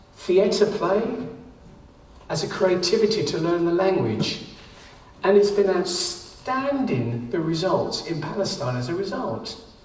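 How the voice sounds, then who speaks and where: Through noticeable background noise and audible room echo, a man's high voice comes at a very slow pace. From London, East End. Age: 70s. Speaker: artist and volunteer teacher. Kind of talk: talk to a group.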